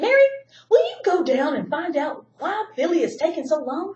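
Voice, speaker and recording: In a squeaky put-on character voice, a woman speaks at an extremely high pitch with very wide pitch swings. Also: moderate pace. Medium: read story.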